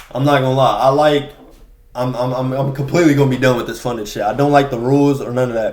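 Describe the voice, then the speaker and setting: Amid noticeable background noise and audible room echo, a man speaks at a very fast pace with medium pitch. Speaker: day trader vlogger. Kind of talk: casual monologue. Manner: halting.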